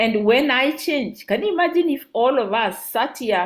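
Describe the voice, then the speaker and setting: A woman is speaking. Her intonation is lively. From Kenya. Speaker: peace activist and nonprofit founder. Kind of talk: interview talk. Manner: halting with repetitions.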